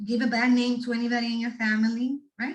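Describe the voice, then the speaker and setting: A woman's high voice with a Spanish accent, at a moderate pace. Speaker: guest speaker on resilience, doctoral student. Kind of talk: talk to students. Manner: animated.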